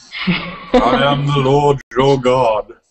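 This voice is a man's put-on character voice. It sits at a fairly high pitch. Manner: grand and authoritative.

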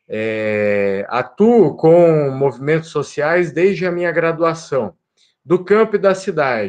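The background is quiet. A man talks at a very slow pace. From Brazil, Paraná. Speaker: law professor. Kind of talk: lecture. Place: home room. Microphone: webcam.

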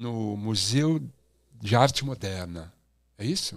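Against a quiet background, a man speaks at a very slow pace with very wide pitch swings. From Brazil. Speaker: podcast host, former music TV presenter. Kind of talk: casual chat. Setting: studio, live stream. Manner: animated. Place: studio. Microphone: studio mic.

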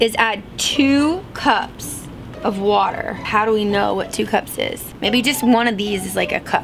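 Music plays in the background. A woman talks at a fairly slow pace. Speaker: vlogger. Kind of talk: casual vlog chat.

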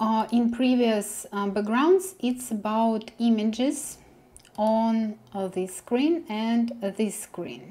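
A woman with a Russian accent speaks very slowly, her pitch fairly high and its variation ordinary. Her tone is dark and mellow, somewhat breathy. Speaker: web developer tutor. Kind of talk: coding tutorial. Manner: hesitant, with many fillers. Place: home room.

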